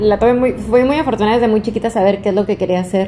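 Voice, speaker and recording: A woman's voice over noticeable background noise. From Mexico, Zamora, Michoacán. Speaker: fashion designer and entrepreneur. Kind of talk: casual interview chat.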